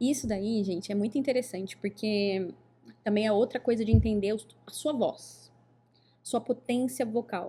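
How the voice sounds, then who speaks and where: Somewhat breathy and with a dark, mellow tone, a woman with a fairly high pitch speaks at a moderate pace, leaving long, frequent pauses. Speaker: podcast host, oratory teacher. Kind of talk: casual podcast interview. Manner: animated.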